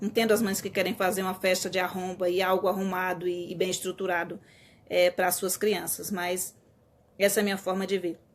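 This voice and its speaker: A woman's medium-pitched voice at a fairly quick pace, in a monotone, flat intonation. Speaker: teacher. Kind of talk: live stream talk. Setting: live stream. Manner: fast.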